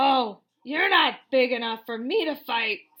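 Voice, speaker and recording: A shouted, put-on character voice at a fairly slow pace, full of lively intonation. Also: woman, high pitch for a woman. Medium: read story. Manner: grouchy, shouting.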